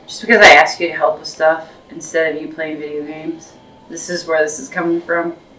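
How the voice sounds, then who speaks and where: A woman speaks fairly quickly at a fairly low pitch, her intonation monotone and flat. Her loudness swings a lot, and there is noticeable background noise. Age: 40s. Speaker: podcast co-host. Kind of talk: casual family chat.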